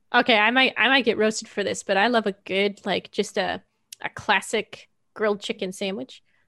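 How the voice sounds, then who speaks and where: In a dry, close recording with no echo and a quiet background, a woman speaks at a moderate pace with a bright, sharp tone, fairly high pitch and fairly even intonation. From western Canada. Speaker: game artist and designer. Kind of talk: casual interview chat. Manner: warm, friendly, chatty.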